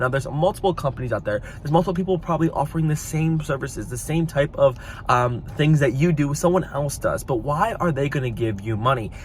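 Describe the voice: A man's fairly quick speech with few pauses and lively intonation. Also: fairly high pitch for a man.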